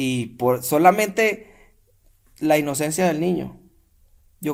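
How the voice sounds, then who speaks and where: A man's fairly high pitch with ordinary variation, in a Venezuelan accent. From Venezuela, San Carlos, Cojedes. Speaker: podcast guest, Venezuelan immigrant. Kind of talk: casual interview chat.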